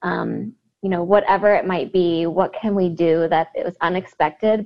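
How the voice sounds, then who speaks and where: In a Midwestern American accent, a woman speaks at a fairly quick pace with a fairly low pitch and fairly even intonation. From US Midwest, Cincinnati, Ohio. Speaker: educator. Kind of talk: interview.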